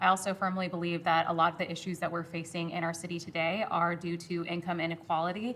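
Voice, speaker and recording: Speaking at a very fast pace with hardly any pauses, a woman keeps a monotone, flat intonation. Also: fairly low pitch for a woman. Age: 20s. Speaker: city council candidate. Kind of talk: debate.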